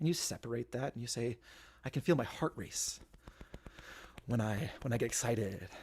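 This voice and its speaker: This man talks at a fairly quick pace in a somewhat breathy voice, with medium pitch and ordinary pitch variation. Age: 30s. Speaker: lay speaker at worship service. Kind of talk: sermon. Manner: fast.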